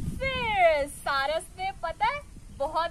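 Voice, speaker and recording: Over light background noise, a woman uses a raised, projected voice with very wide pitch swings at a very slow pace. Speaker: storyteller for children. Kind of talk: children's storytelling with puppets.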